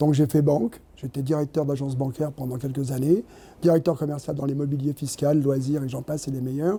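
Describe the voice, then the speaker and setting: A man's fairly high, dark, mellow voice, somewhat breathy, moves at a fairly quick pace. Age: 70s. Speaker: actor. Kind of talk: interview. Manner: halting.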